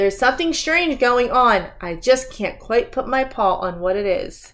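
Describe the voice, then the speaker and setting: A female-sounding voice puts on a gruff, growling character voice at a high pitch. The pace is moderate. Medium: read story. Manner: growling, gruff.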